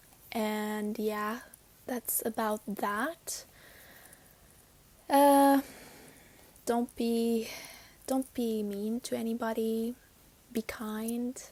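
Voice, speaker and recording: Against a very clean recording with a silent background, a woman with a non-native accent speaks very slowly in a fairly high, dark and mellow voice, her intonation monotone and flat, with long, frequent pauses. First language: not English. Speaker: spiritual podcast host. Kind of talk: casual chat. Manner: hesitant, with fillers.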